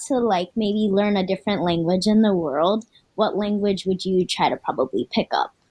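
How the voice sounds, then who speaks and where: In a normal speaking voice, a woman with an American accent speaks at medium pitch, in a dry, close sound with no echo. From Florida, US. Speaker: co-host of a cultural TV program. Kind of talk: casual panel chat.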